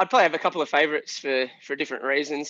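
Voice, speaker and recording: Dry, close sound with no echo, an Australian accent, and a quiet background. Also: man. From Australia, Shepparton, Victoria. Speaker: pub band musician. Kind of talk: casual chat.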